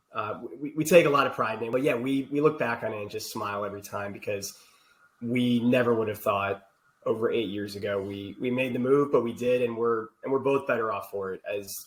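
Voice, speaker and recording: A man with an Ohio accent at a fairly quick pace. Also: medium pitch for a man, ordinary pitch variation. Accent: Ohio (US Midwest) accent, still noticeable. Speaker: healthcare technology executive. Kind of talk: podcast interview.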